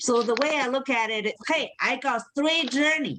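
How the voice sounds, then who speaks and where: This woman speaks with a Chinese accent. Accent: Chinese (Mandarin). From China, Beijing. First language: Mandarin Chinese. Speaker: comedian. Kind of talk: stand-up. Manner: halting.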